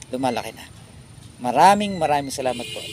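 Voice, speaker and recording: A man talks at a fairly quick pace in a fairly high pitch, with ordinary pitch variation. Noticeable background noise runs under his voice. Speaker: vlogger. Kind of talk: casual chat. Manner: halting.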